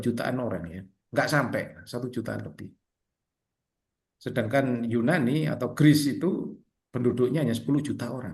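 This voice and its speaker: With audible room echo, a man talks at a moderate pace and medium pitch, his intonation lively and his voice showing vocal fry. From Indonesia. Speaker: Orthodox priest teaching catechism. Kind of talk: catechism class over video call. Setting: video call. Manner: casual, conversational.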